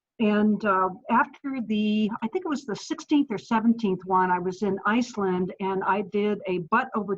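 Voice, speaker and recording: Here a woman speaks at medium pitch with ordinary pitch variation. Her voice is somewhat breathy. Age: 60s. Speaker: adventure athlete and author. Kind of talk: interview. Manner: hesitant, with many fillers.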